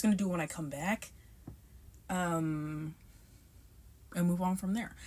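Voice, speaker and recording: Moderate pacing from a woman, her voice somewhat breathy. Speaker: beauty vlogger. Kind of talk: casual chat.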